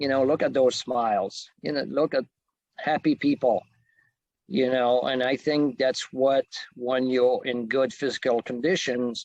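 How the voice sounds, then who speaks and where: A man speaks with a French Canadian accent at a medium pitch, varying it in an ordinary way. The background is quiet. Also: dry, close sound with no echo. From Quebec, Canada. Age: 50s. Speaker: fitness trainer. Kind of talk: presentation. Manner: hesitant, many fillers.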